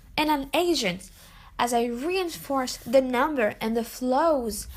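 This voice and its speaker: Delivered fairly slowly, the speech carries lively intonation. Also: woman. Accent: French. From France. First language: French. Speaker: international student. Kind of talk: student presentation.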